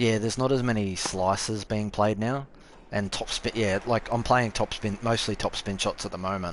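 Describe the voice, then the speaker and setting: With an Australian accent, a man of fairly low pitch talks at a moderate pace with fairly even intonation. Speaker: gaming streamer. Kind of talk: live gameplay commentary and chat. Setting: live stream.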